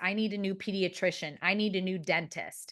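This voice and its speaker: A woman speaks at a moderate pace with a Midwestern American accent. Her pitch is medium, and the background is quiet. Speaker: marketing consultant. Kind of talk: webinar presentation. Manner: casual, filler-heavy.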